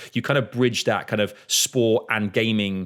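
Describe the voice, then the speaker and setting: With a Mancunian accent, a man speaks in a fairly low pitch with monotone, flat intonation. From Manchester, England. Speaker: podcast host. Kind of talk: casual chat. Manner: halting.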